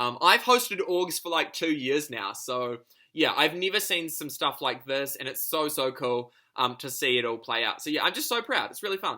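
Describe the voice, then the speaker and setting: Over a very clean recording with a silent background, a man with a New Zealand accent talks at a moderate pace in a fairly high, bright, sharp voice with lively intonation. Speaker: online reality game player. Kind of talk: video confessional. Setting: home lounge.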